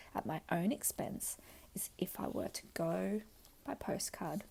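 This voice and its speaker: The speaker whispers at a fairly slow pace. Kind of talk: audiobook reading. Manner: whispered.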